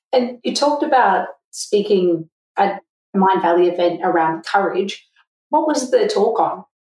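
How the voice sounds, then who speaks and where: Using an ordinary speaking voice at medium pitch, a woman talks at a fairly slow pace with lively intonation. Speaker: podcast host, accountant. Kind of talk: podcast interview.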